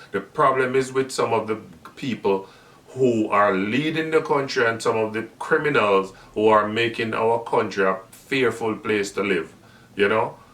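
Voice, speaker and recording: A man with a medium pitch talks at a moderate pace, his pitch varying in an ordinary way, while noticeable background noise carries on. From Jamaica. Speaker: channel host and commentator. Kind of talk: video monologue commentary. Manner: halting, with repeated words.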